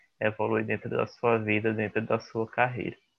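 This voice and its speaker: A man's medium-pitched voice keeps a moderate pace. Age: young. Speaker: podcast host. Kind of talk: interview.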